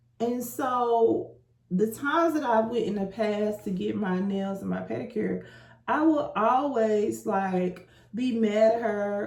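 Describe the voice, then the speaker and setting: Room echo is audible as a woman talks at a fairly high pitch with ordinary pitch variation over noticeable background noise. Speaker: lifestyle vlogger. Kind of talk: casual vlog monologue. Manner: animated.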